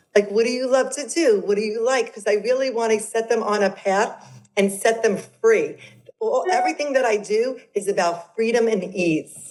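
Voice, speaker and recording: In a strong New York accent, a woman talks with a fairly high pitch. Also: ordinary pitch variation, moderate pace. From Brooklyn, New York. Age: 50s. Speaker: transformational coach. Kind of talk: podcast interview. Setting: video call.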